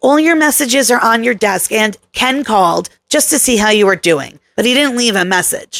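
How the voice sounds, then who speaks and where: In a raspy put-on character voice pitched extremely high, a man speaks at a moderate pace with lively intonation, very even loudness and hardly any pauses. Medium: read story.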